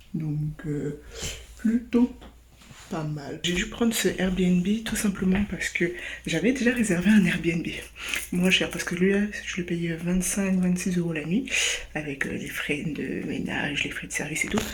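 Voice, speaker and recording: A woman speaks at a very slow pace in a fairly low voice, with ordinary pitch variation and long, frequent pauses. Noticeable background noise and audible room echo fill the recording. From France. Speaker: travel vlogger. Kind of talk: casual vlog. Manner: hesitant, many fillers.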